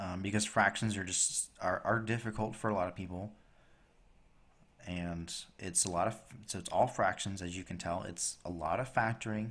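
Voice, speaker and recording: In a plain, everyday voice, the speaker goes at a moderate speed with fairly even intonation. The background is silent and the recording very clean. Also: man, fairly low pitch for a man. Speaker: math teacher. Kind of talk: tutorial.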